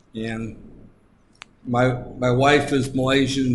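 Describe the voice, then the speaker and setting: With an American accent, a man speaks in a somewhat breathy voice, and audible room echo surrounds him. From United States. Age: 60s. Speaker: lecturer. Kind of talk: lecture. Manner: halting.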